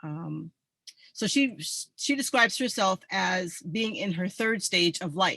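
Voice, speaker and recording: A woman with an American accent talks at a very slow pace, with lively intonation. Her tone is bright and sharp, with vocal fry. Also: medium pitch for a woman. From New England, US (Mystic, Connecticut). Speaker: army veteran, presenter. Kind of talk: online group presentation.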